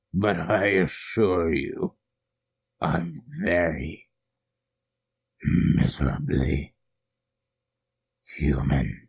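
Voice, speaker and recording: Using a put-on character voice, a man speaks very slowly at a very deep, low pitch, leaving long, frequent pauses. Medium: read story. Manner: menacing, gloating.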